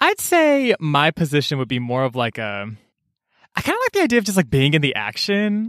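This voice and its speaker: A man talks at a fairly quick pace. The recording is very clean and silent behind him, dry and close with no echo. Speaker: podcast co-host. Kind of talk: casual chat. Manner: animated.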